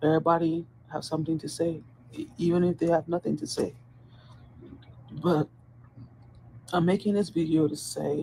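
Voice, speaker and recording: A woman's fairly low, somewhat breathy voice with a dark, mellow tone and long, frequent pauses. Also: ordinary pitch variation, moderate pace. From Dominican Republic. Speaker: corrections officer. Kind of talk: personal video monologue. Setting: at work on a hospital post.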